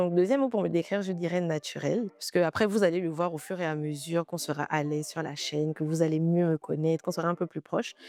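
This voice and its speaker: A woman's fairly low voice at a very fast pace, with ordinary pitch variation and a dry, close sound free of echo. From Gabon, Port-Gentil. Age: 20s. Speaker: YouTuber. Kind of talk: casual vlog Q&A.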